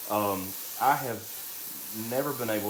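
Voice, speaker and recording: Someone talks with an American accent amid noticeable background noise and audible room echo. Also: man. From US South, Alabama (St. Clair County). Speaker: drag queen and makeup artist. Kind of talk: live makeup tutorial. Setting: live stream. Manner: chatty, talkative.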